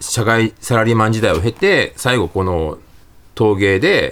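A man's voice, medium in pitch, at a fairly slow pace, an ordinary speaking voice. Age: 50s. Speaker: calligrapher and former TV music producer. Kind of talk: casual interview.

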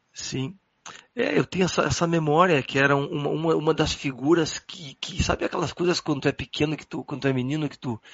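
A man speaks in an unremarkable speaking voice at a fairly high pitch, with ordinary pitch variation. His pace is fairly quick, with big swings in loudness. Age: 40s. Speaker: jazz guitarist. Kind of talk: casual chat.

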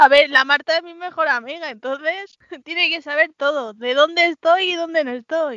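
A raised, projected voice with a bright, sharp tone, big swings in loudness, and a dry, close sound with no echo. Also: woman, high pitch for a woman, ordinary pitch variation, moderate pace. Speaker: podcast co-host. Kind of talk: casual chat. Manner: laughs a lot.

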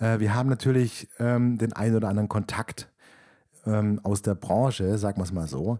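A man with a dark, mellow, medium-pitched voice talks at a moderate pace, recorded dry and close with no echo on a very clean recording with a silent background. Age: 30s. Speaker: podcast host and camper van rental owner. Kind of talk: casual monologue. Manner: hesitant with many fillers.

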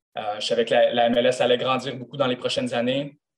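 At a fairly quick pace, a man speaks with a Quebec accent. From Quebec, Gatineau. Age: 20s. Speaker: professional footballer. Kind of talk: interview. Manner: halting.

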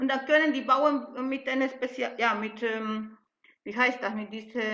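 This woman has a high-pitched voice with ordinary pitch variation. She speaks at a moderate pace. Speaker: event participant, alpaca farmer. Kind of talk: Q&A in an online event.

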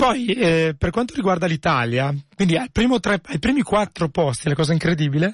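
At a moderate pace, a man speaks with very wide pitch swings and very even loudness, the sound dry and close with no echo. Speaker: radio host. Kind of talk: live radio show hosting. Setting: radio studio, live.

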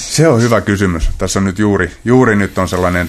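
A man talks at a moderate pace with a fairly low pitch. Noticeable background noise sits behind him. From Central Finland, rural. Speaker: martial arts coach. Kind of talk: casual interview. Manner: halting, many repetitions and fillers.

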